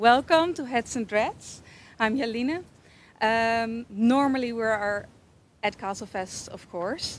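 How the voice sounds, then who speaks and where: Speaking at a fairly slow pace in a Dutch accent, a woman has a fairly high pitch and ordinary pitch variation. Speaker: hair braider and shop owner. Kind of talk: live stream interview.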